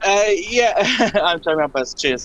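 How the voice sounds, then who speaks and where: This raised, projected voice speaks in a Polish accent. Its pitch varies an ordinary amount. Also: man. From Poland. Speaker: caller. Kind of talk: phone-in call. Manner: halting.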